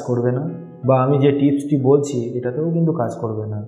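Over faint music, a man talks at a fast pace with a dark, mellow tone and fairly even intonation. Strong room echo surrounds his voice.

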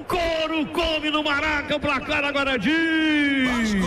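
A man shouts at an extremely high pitch and a very slow pace, with fairly even intonation. Noticeable background noise can be heard. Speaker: radio football commentator. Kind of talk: live radio football goal call. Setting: radio broadcast from stadium. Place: booth.

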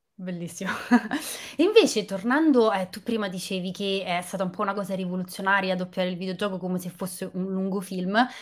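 An animated woman at medium pitch and a fairly quick pace, over a quiet background. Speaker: film journalist and live stream host; interview host. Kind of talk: live video interview. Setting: video call. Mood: friendly, lively. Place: home room. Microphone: webcam.

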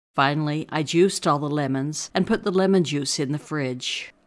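On a very clean recording with a silent background, a woman speaks in a very deep, low pitch with ordinary pitch variation. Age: 80s+. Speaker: retired mathematics teacher, keto cooking channel host. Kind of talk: casual cooking tutorial narration.

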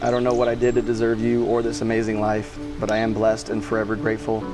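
A man talking at a very fast pace over clear music in the background. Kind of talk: wedding vows read aloud. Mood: warm, emotional, playful. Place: garden. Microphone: lapel.

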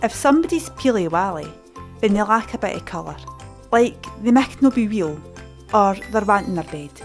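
Music plays behind a woman with a West Central Scottish accent and a medium pitch. She talks at a moderate pace with lively intonation and long, frequent pauses. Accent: West Central Scots. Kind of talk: educational language explainer.

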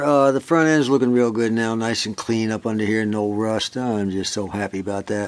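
A man speaking at a fairly quick pace. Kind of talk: tutorial. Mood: cheerful, relaxed. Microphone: phone near.

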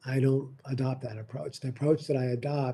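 A man with a dark, mellow tone and a somewhat breathy voice speaks with fairly even intonation over light background noise. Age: 50s. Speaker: nursing professor and dean; nursing professor. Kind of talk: lecture. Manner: fast. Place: office. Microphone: webcam.

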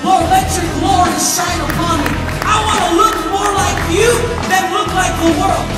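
Loud music plays behind the speech, with audible room echo. The pace is fairly slow. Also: man. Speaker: preacher or youth leader. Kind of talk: sermon or prayer in a promo video. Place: church.

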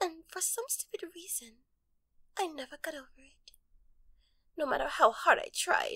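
Nothing can be heard in the background. The talking goes at a moderate speed. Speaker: voice actor for animated character. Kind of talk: dramatic character dialogue. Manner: soft, intimate ASMR-style speech.

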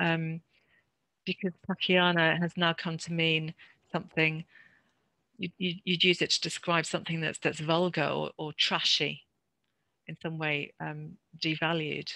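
A woman with a low pitch and a bright, sharp tone talks at a fairly slow pace with vocal fry and little pitch movement, in a dry, close sound with no echo.

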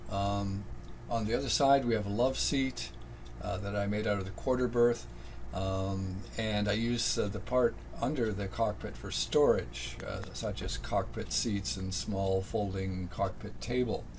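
A man's fairly low, somewhat breathy voice with very wide pitch swings, a fairly slow pace and light background noise. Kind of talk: casual tour narration. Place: boat. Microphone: phone near.

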